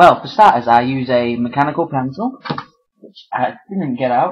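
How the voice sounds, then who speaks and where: A man's medium-pitched voice carries a British accent. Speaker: artist and vlogger. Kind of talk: casual chat. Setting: webcam video at home. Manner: hesitant, many fillers; less energetic than usual character voice. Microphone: built-in monitor webcam.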